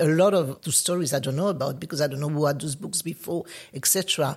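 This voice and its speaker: A woman with a French accent talks at a fairly quick pace in a very deep, low pitch, showing ordinary pitch variation. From France, Paris. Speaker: artist. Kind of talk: interview.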